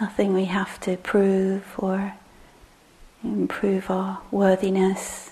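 A woman speaks at a very slow pace in a gentle tone. Her intonation is monotone and flat. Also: medium pitch for a woman. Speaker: meditation teacher. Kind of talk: guided meditation. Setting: meditation hall with live group. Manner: voice drops quiet when guiding; slow, gentle, hesitant.

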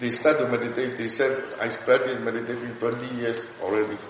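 At a moderate pace, a man talks at a medium pitch with noticeable background noise behind him. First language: Burmese. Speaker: meditation teacher. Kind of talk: dharma discussion. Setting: meditation centre. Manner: halting.

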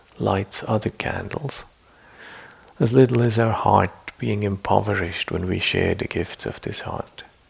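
A man's fairly low voice carries a soothing, gentle tone over noticeable background noise. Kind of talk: guided meditation. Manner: slow, soft-spoken, soothing, with long pauses; gentle, deliberate, formal, reflective.

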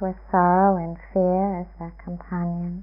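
Gentle, soothing tone at a fairly slow pace, with music in the background. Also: woman. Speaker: meditation teacher. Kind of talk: guided meditation. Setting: meditation retreat sitting. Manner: slow, calm, soft-spoken, with long pauses; gentle, soothing, measured.

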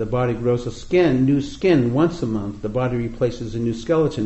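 The voice here is an unforced reading voice.

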